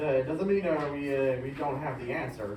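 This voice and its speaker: A man with an American accent and a fairly high pitch speaks at a fairly quick pace with fairly even intonation. Audible room echo and noticeable background noise fill the recording. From Illinois. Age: 30s. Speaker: self-advocate presenter. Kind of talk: prepared presentation. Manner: halting, frequent uh fillers.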